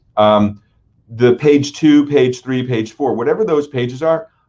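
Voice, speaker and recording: His pitch moves in an ordinary way. This man's pace is moderate. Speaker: digital marketing agency owner; webinar presenter. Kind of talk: webinar presentation. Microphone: webcam.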